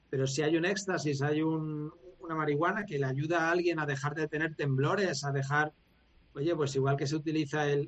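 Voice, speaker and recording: A man's fairly high, ordinary speaking voice, with moderate pace, very even loudness and fairly even intonation. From Valencia, Spain. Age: 40s. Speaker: former motorcycle racer and coach. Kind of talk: long-form interview.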